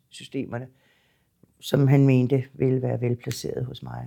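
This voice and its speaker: A woman speaks at a fairly slow pace. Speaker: psychiatric nurse near retirement. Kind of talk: interview testimony. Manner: hesitant, repeats words.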